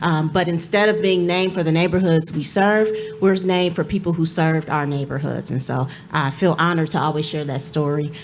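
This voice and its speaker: A woman's fairly low, American-accented voice at a fairly quick pace, fairly even intonation and audible room echo. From Cleveland, Ohio. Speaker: nonprofit executive director. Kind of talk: panel discussion. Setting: stage with audience.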